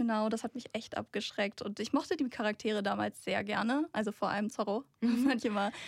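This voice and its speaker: A woman speaks at a moderate pace with a fairly high pitch and a somewhat breathy voice. The recording is very clean, with a silent background and a dry, close sound with no echo. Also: ordinary pitch variation, hardly any pauses. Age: 20s. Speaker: tech editor, manga fan. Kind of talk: casual chat. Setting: studio.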